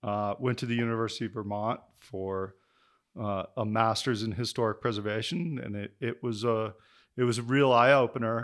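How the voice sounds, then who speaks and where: A Western US accent at a moderate pace, with fairly even intonation, on a very clean recording with a silent background. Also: man, medium pitch for a man. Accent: General American (Western US). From Denver, Colorado. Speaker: community and land planner. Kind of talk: casual interview conversation.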